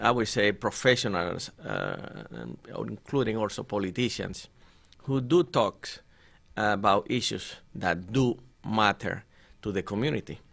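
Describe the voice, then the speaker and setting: At a fairly slow pace, a man with a Spanish accent speaks in a fairly low pitch with ordinary pitch variation and vocal fry, on a very clean recording with a silent background. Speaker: politician. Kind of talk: interview. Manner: formal.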